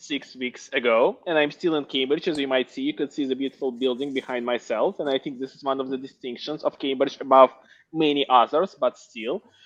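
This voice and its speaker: Fairly quick speech with a Russian accent and fairly even intonation. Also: man. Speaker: MBA graduate, tech entrepreneur. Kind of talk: panel discussion.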